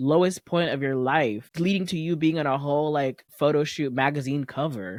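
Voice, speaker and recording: Moderate pace from a woman, quiet background. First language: not English. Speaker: podcast co-host. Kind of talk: casual chat. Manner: animated.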